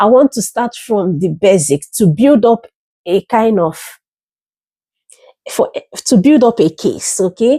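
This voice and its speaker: A woman speaks at a fairly slow pace in a fairly high, somewhat breathy voice with a dark, mellow tone. Her intonation is lively, and the sound is dry and close with no echo. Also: very clean recording, silent background. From Africa. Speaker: YouTuber and educator. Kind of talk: casual monologue. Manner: explanatory, teacherly.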